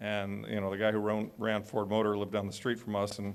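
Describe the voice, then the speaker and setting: In an American accent, a man with a fairly low pitch speaks at a very fast pace in a monotone, flat intonation. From United States. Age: 60s. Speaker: author and panelist. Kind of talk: panel discussion.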